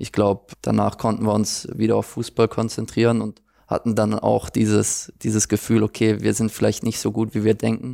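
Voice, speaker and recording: The man speaks at a moderate pace in a dry, close sound with no echo. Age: 20s. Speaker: professional footballer. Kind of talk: interview.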